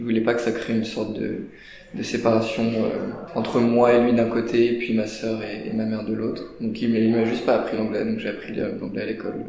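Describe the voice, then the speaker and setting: Medium in pitch, a man speaks at a fairly quick pace with monotone, flat intonation. Both room echo and noticeable background noise can be heard. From France, Paris. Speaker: student. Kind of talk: interview. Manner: hesitant, many fillers.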